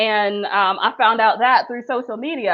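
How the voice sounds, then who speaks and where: A woman speaks in an American accent at a fairly high pitch. She has a plain, everyday voice with ordinary pitch variation. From Louisiana, USA. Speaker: professor and author. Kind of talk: interview answer.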